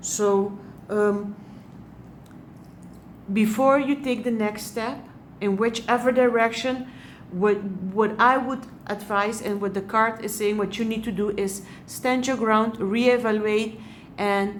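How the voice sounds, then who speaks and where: Speaking at a fairly slow pace with a non-native accent, a woman keeps her intonation fairly even and leaves long, frequent pauses. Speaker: hypno-regression therapist and life coach. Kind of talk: tarot reading to camera. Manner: hesitant, frequent pauses and fillers.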